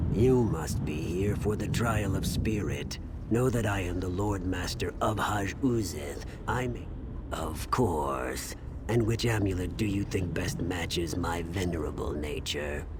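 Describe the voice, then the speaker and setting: A put-on character voice at a fairly slow pace over loud background noise. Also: man, very deep, low pitch for a man. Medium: game stream. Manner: solemn, dignified.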